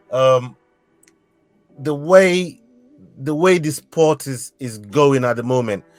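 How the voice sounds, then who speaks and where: Over music in the background, a man with a fairly high pitch and ordinary pitch variation talks at a very slow pace, leaving long, frequent pauses and swinging widely in loudness. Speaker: podcast host. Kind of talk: interview host questions. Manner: casual, enthusiastic.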